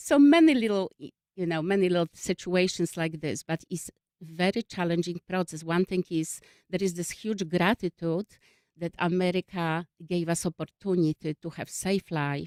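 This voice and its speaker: In a dry, close sound with no echo, a woman speaks with a Polish accent. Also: fairly low pitch for a woman, ordinary pitch variation, moderate pace. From Poland. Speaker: refugee services worker. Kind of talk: radio interview. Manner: halting.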